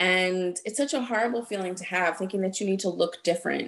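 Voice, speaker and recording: This woman has an ordinary speaking voice and an American accent. Her pitch is medium and her pace fairly quick. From New Jersey. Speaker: acupuncturist. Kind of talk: interview.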